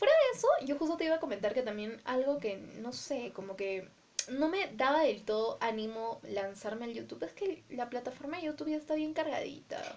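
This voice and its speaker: A woman talks at a moderate pace in a high voice with very wide pitch swings. Noticeable background noise runs under her. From Peru, Arequipa. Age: 20s. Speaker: podcast co-host. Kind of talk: casual chat.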